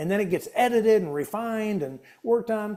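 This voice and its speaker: A man talks at a moderate pace in a high-pitched voice with a dark, mellow tone and very wide pitch swings. The recording is very clean, with a silent background. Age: 60s. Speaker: author. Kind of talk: casual chat.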